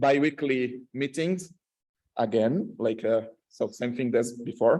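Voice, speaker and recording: With a strong Latin American accent, a man speaks at medium pitch in a dark, mellow tone with ordinary pitch variation. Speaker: researcher. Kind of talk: conference talk. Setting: stage with audience. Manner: halting, many fillers.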